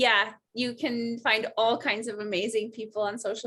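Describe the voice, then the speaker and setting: A woman speaks with an unremarkable speaking voice at a fairly high pitch. Her pace is moderate. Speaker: podcast host, fitness coach. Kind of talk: podcast interview host.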